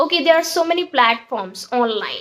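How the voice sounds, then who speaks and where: A woman speaks with an Indian accent. Her pace is moderate and her pitch variation ordinary. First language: Hindi. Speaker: English teacher. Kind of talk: tutorial. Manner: informal, with fillers.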